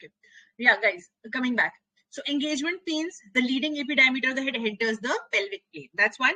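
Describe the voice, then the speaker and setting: At a fairly quick pace, a woman with a high pitch projects a raised voice in a bright, sharp tone with lively intonation, the sound dry and close with no echo. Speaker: medical exam coaching teacher. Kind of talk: live online lecture. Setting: live online class on camera. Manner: fast.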